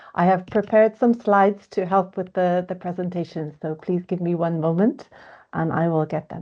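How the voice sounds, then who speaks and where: A woman speaks in an Irish accent with a fairly low voice. Her intonation is fairly even, but her loudness swings widely. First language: English (speaking French). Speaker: education researcher. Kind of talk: panel discussion. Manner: slow.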